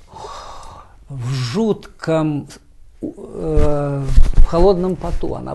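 Background noise is noticeable in this clip. The speaker is a man. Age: 70s. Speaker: writer, poet and professor. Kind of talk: interview answers. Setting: TV studio.

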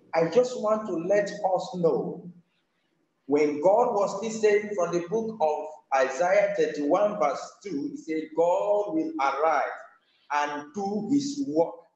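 Speaking with a Nigerian accent at a very slow pace, a man uses a high voice and lively intonation. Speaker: evangelist. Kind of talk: sermon, exhortation. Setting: remote over the internet, weak connection.

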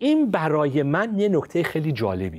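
A man whose pitch swings very widely. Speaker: pastor and science-faith commentator; pastor, science-faith commentator. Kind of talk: religious discussion show. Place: studio. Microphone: lapel.

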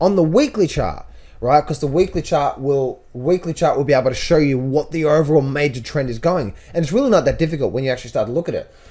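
A man rattles along at a very fast pace, his pitch moving with ordinary variation. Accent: Australian. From Australia. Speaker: trader and trading educator. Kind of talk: market analysis tutorial. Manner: casual, repetitive phrasing.

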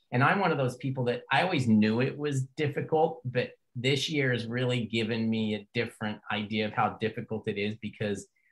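A man speaks at a moderate pace in a plain, everyday voice, his pitch sitting in the middle range. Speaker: podcast host. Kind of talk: casual interview chat.

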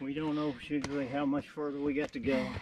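A man speaks fast at medium pitch with a slightly mellow tone. His pitch moves very little.

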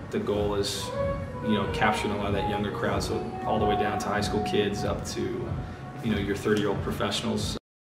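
Loud music plays in the background. Over it, a man talks with ordinary pitch variation. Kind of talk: interview answer. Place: shop.

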